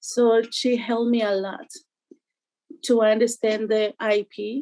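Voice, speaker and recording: A woman with a Spanish accent speaks at a fairly slow pace in a fairly high pitch, her tone dark and mellow. Her intonation stays monotone and flat, and the sound is dry and close with no echo. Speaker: parent telling her experience. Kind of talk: testimony. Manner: halting.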